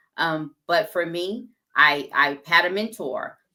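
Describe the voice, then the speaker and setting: Music plays behind a woman whose fairly low voice keeps a fairly even intonation. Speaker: entrepreneur and business owner. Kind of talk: interview.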